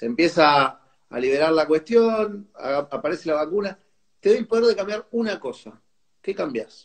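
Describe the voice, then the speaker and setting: Over a quiet background, a man talks at a moderate pace in a high pitch. His intonation is lively. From Argentina. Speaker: music show host. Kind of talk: casual interview. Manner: animated. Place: home room. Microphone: earbuds.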